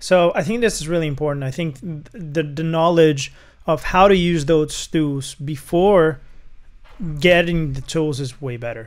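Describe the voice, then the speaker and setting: Speaking fairly slowly with a non-native accent, a man uses a fairly high pitch with ordinary pitch variation. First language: not English. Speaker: music producer. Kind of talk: casual chat.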